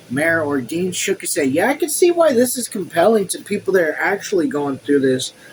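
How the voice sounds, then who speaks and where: Fairly quick delivery with hardly any pauses, against noticeable background noise. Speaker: YouTuber reading a book aloud with commentary. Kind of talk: reading aloud with casual commentary. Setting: home room. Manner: animated.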